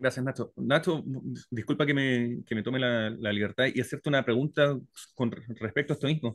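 A man talks at a fairly quick pace in a Chilean accent. His pitch is medium and his intonation fairly even. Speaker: audience participant. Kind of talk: audience question.

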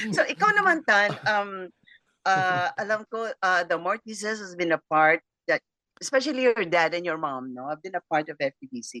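A woman at medium pitch with lively intonation, a bright, sharp tone, big swings in loudness and a moderate pace, in a dry, close sound with no echo. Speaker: radio host. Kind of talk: casual chat.

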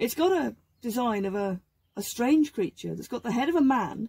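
The speaker is a woman. Her voice is somewhat breathy. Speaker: craft demonstrator. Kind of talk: tutorial. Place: workshop.

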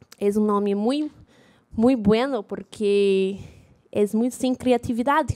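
The speech comes at a very slow pace with ordinary pitch variation over a quiet background. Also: woman. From Rio de Janeiro, Brazil. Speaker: data journalist and conference speaker; data journalist, conference speaker. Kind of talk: conference talk. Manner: halting, many fillers. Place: hall. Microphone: poor microphone.

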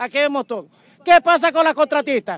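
Extremely high-pitched, a man talks at a fairly quick pace in a dry recording with no echo. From Maracaibo, Venezuela. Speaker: municipal sanitation worker, protester. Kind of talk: protest speech, angry demands to officials. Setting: outdoors at street protest, reporter interview. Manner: forceful, indignant. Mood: indignant, complaining. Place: street. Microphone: handheld.

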